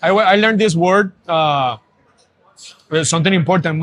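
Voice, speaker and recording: A man's high-pitched voice with lively intonation, in a Spanish accent. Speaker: brewer. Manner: slow, hesitant, many fillers.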